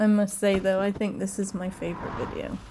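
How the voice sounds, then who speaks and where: A woman at a moderate pace in a British accent, with noticeable background noise. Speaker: video blogger. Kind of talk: voice-over narration. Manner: casual, chatty.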